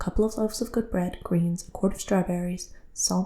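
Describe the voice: Ordinary pitch variation, plain reading aloud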